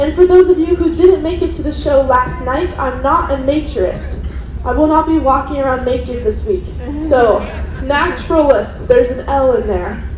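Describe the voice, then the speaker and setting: A woman talks at a moderate pace with a high pitch and lively intonation. Audible room echo and noticeable background noise surround her voice. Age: 20s. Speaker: ship naturalist, wildlife biology student. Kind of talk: lecture.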